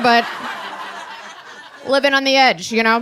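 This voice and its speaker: A woman with an American accent talking fairly quickly amid noticeable background noise. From Maryland. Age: 40s. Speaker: stand-up comedian. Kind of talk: live stand-up comedy set. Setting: live venue with audience. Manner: sardonic, angry joy.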